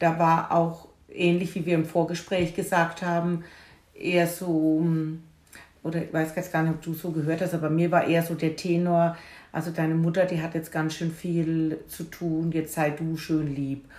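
Audible room echo surrounds a woman who talks at a moderate pace in a fairly low pitch with monotone, flat intonation. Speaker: podcast host and grief companion. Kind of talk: casual conversation. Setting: at home in the kitchen.

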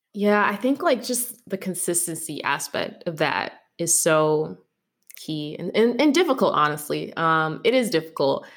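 A woman talks at a moderate pace in a normal speaking voice. Her pitch is fairly low. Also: lively intonation. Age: 20s. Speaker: podcast host. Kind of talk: casual interview chat.

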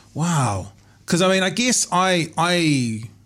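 The speaker is a man. His speech is in a New Zealand accent. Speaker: podcast host. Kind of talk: casual interview. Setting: studio. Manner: jokey.

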